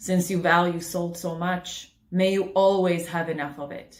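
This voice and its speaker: Putting on a character voice, a woman speaks at a moderate pace. Her fairly low delivery is monotone and flat. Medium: read story. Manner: gentle, soothing, repetitive.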